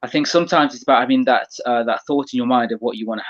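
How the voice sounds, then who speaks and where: With a British accent, a man speaks at a very fast pace in a dry, close sound with no echo. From England. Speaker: automotive media creator. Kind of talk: casual interview chat.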